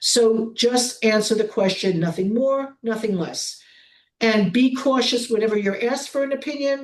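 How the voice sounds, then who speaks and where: In a New York accent, the speech moves at a moderate pace with ordinary pitch variation. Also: woman, fairly high pitch for a woman. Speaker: prosecutor. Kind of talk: webinar presentation.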